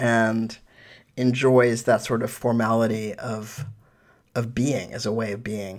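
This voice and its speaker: A man speaks at a very slow pace in a medium pitch, his intonation monotone and flat. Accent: American. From New York City. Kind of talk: interview. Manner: halting.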